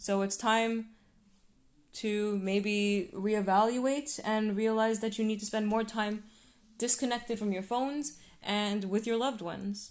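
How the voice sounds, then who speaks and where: This woman has a normal speaking voice with fairly high pitch. She talks at a fairly slow pace with fairly even intonation. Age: 20s. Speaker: podcast host. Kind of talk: solo podcast monologue.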